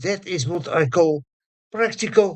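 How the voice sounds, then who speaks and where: Using lively intonation, a man with a Dutch accent speaks at a very slow pace. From Netherlands. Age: 80s+. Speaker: conference speaker. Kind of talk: conference speech. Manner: halting.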